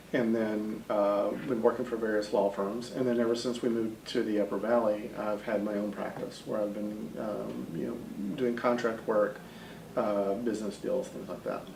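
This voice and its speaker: With a slight Texas accent, a man talks at a moderate pace in a fairly low pitch and fairly even intonation, with audible room echo and noticeable background noise. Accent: slight Texas twang. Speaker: state senator. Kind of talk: interview.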